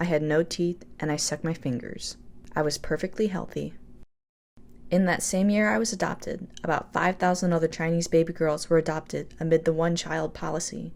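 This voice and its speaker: With an American accent, a woman speaks in an ordinary speaking voice at a moderate pace. Her pitch is fairly low, with ordinary variation. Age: 20s. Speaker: filmmaker. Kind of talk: scripted narration.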